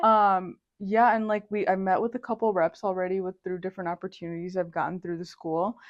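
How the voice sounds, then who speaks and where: A woman talks at a fairly quick pace in an American accent, at a medium pitch with fairly even intonation. She has a plain, everyday voice. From Indiana, USA. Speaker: university student. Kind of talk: interview answer.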